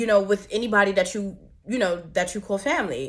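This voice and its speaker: A woman's ordinary speaking voice, medium in pitch, with an American accent and ordinary pitch variation. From New York. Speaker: vlogger, mother and entrepreneur. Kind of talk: personal vlog testimony.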